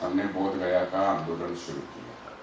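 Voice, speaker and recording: Over noticeable background noise and audible room echo, a man speaks with a Marathi accent. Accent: Marathi-accented Hindi. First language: Marathi (speaking Hindi). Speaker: activist. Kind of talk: conference speech.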